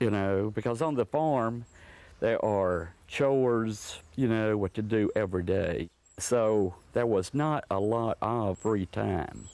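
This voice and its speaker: A man with an Alabama accent, fairly low in pitch, at a very slow pace, with ordinary pitch variation, very even loudness and a quiet background. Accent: Southern US (Alabama). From US South, northwest Alabama. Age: 70s. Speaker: sculptor. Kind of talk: documentary interview.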